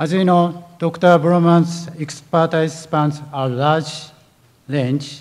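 A man talks with monotone, flat intonation. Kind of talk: formal speaker introduction. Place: hall. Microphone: podium.

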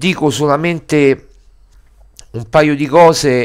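Over a quiet background, the speech moves at a very slow pace. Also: man. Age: 40s. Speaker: sports journalist and editor. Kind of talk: video commentary monologue. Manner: halting, many fillers. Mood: disappointed, earnest. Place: home room. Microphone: headset.

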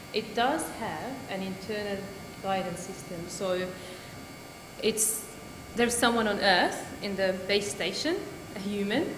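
Noticeable background noise sits behind a woman who talks at a fairly slow pace with ordinary pitch variation. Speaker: speaker. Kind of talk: sermon-style talk. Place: church.

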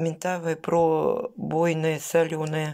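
A woman speaks in a fairly low pitch. Her pace is very slow against a quiet background. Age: 50s. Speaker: vlogger. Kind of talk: casual vlog haul. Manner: chatty, colloquial. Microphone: phone near.

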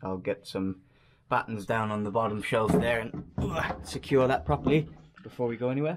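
A man talks over loud background noise. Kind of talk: casual vlog tutorial. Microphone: phone near.

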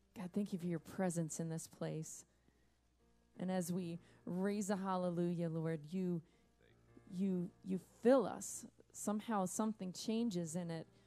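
A woman's fairly low voice at a fairly slow pace, with long, frequent pauses, fairly even intonation and faint music in the background. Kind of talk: worship welcome and spoken prayer. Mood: warm, prayerful. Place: stage.

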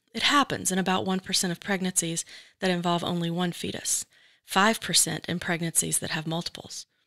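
In a very clean recording with a silent background and a dry, close sound with no echo, a woman with a normal speaking voice talks at a medium pitch and a moderate pace. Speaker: podcast host. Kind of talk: personal narration and interview.

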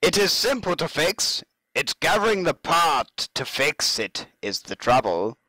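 A man uses a raspy, put-on character voice at a high pitch, with very wide pitch swings and a dramatic tone. He keeps a moderate pace, and the sound is dry and close with no echo. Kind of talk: comic put-on voice reading in-game dialogue aloud. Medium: machinima. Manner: gruff, dramatic.

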